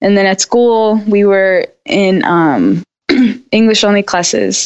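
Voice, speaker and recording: Her delivery comes at a fairly slow pace. This woman talks with an American accent. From South Los Angeles, California. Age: 30s. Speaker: author and kindergarten teacher. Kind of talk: interview conversation.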